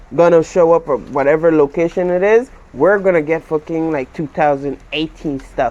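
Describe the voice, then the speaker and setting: A man with a Central American accent speaks at a fairly slow pace with lively intonation. Noticeable background noise is present. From Belize. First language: Garifuna. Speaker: YouTuber. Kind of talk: casual chat.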